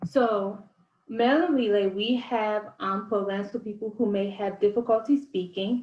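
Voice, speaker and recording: Delivered at a moderate pace, the speech sounds somewhat breathy and varies its pitch in an ordinary way. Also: woman, fairly high pitch for a woman. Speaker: outreach manager presenting a state program. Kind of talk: presentation.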